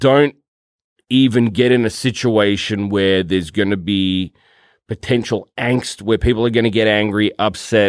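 With an Australian accent, a man speaks at a moderate pace in a fairly low voice. His intonation is fairly even and his loudness very even. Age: 40s. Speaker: podcast co-host, film and TV worker. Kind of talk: casual chat.

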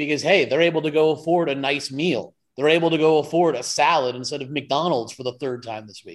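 Hardly pausing, a man with an American accent moves at a fairly quick pace in a fairly high pitch, showing ordinary pitch variation and big swings in loudness. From New York State, Hudson Valley. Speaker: podcast producer. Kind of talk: heated rant. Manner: animated.

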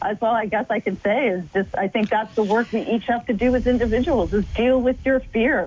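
Fairly quick and with hardly any pauses, a woman speaks at a fairly high pitch with ordinary pitch variation and very even loudness. She has an unremarkable speaking voice. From Canada. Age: 50s. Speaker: filmmaker and long-distance adventurer. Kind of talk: radio interview.

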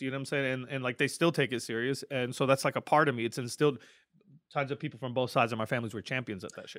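Over a very clean recording with a silent background, a man with a bright, sharp tone and medium pitch talks at a very fast pace, his loudness swinging widely. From Lebanon. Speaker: battle rapper. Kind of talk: casual chat.

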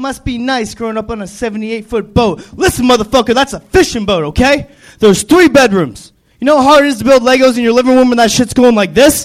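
In an American accent, a man with an extremely high voice speaks at a fairly quick pace with ordinary pitch variation. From Florida Keys. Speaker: stand-up comedian. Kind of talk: stand-up.

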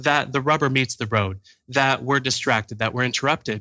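The recording is very clean, with a silent background. The tone is bright and sharp, and the pitch varies in an ordinary way. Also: man. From Canada. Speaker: author and productivity speaker. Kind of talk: casual interview chat.

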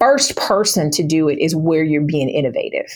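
A woman speaks in a normal speaking voice. Her pitch is fairly low and her pace is moderate. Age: 40s. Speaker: small business owner. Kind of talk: interview.

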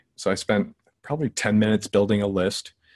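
An unremarkable speaking voice from a man, fairly low in pitch, at a fairly quick pace with fairly even intonation. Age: 30s. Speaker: sales software founder. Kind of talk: interview.

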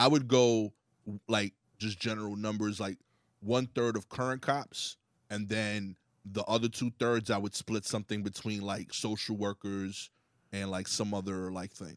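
An unremarkable speaking voice with fairly even intonation, dry and close with no echo, on a very clean recording with a silent background. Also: man, fairly low pitch for a man, moderate pace. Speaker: comedian. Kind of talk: casual chat.

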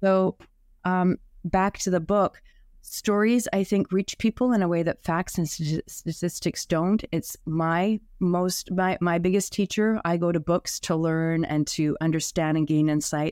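In a very clean recording with a silent background and a dry, close sound with no echo, a woman speaks in an unremarkable speaking voice. Her pitch is fairly low, her intonation fairly even, her loudness very even and her pace fairly slow. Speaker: inclusivity coach and author. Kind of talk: interview.

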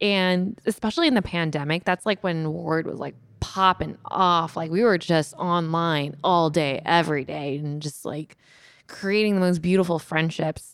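At a moderate pace, a woman talks in an ordinary speaking voice, fairly low in pitch with ordinary pitch variation, on a very clean recording with a silent background. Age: 30s. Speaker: YouTuber and content creator. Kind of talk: casual interview chat.

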